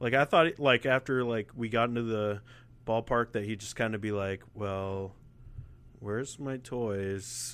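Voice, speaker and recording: A man's normal speaking voice at medium pitch, fairly slow, with fairly even intonation. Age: 20s. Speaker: podcast co-host. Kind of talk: casual chat. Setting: remote call over internet.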